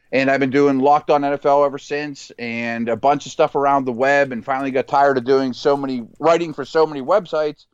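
A man with an American accent speaks at a fairly quick pace, his pitch medium and his intonation fairly even. He has an unremarkable speaking voice, and the background is quiet. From Pittsburgh, Pennsylvania. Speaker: football analyst and former NFL scout. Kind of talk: casual sports chat.

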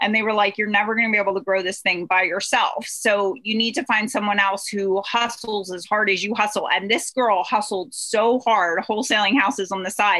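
Talking at a fairly quick pace with hardly any pauses, a woman keeps a medium pitch. Her intonation is fairly even, with noticeable background noise behind her. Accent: American. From Pennsylvania. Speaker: real estate investor. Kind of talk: interview.

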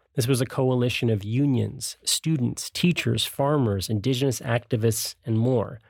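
A man with a normal speaking voice at medium pitch, ordinary pitch variation, very even loudness, a moderate pace and hardly any pauses. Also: very clean recording, silent background. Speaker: podcast host. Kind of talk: scripted narration.

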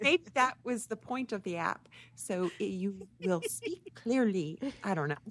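Very wide pitch swings at a fairly slow pace. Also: woman, medium pitch for a woman. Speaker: tech podcast co-host. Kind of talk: casual chat.

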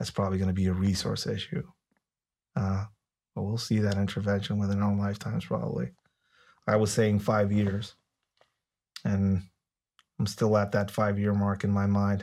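A man with a Spanish accent talks at a moderate pace, his pitch fairly low and intonation fairly even. He takes long, frequent pauses. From Mexico, Tijuana. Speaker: former police officer and cartel expert. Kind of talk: interview conversation.

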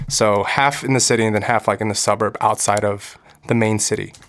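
A man with a Californian accent speaks at a fairly quick pace in a fairly low pitch, his intonation fairly even. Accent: Californian American. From Los Angeles, US. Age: 20s. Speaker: actor and musician. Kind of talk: casual chat.

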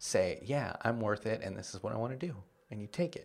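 With an East Coast accent, a man talks at a medium pitch with ordinary pitch variation in a very clean recording against a silent background. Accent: American English, East Coast. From Washington, D.C., US East Coast. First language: Spanish. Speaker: comedian. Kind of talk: casual interview chat.

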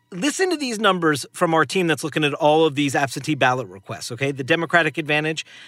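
Music plays in the background as a man speaks at a very fast pace with hardly any pauses. His fairly high voice has lively intonation. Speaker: podcast host and political analyst. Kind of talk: news analysis discussion.

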